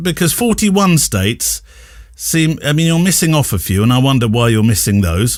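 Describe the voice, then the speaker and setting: Very wide pitch swings mark this British-accented voice, captured in a very clean recording with a silent background. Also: man. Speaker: podcast host. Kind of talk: interview.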